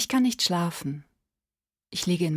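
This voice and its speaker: A soft-spoken woman has a fairly low pitch and a somewhat breathy sound. The background is quiet. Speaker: emerging voice actor / audiobook reader. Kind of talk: audiobook reading of a prose story. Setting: home studio. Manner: quiet, intimate, soft-spoken. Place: studio.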